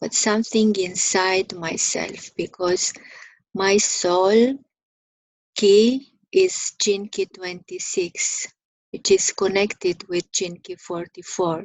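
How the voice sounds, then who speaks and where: Fairly level intonation marks a woman's very slow delivery. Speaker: spiritual teacher. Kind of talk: spiritual contemplation talk. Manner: halting.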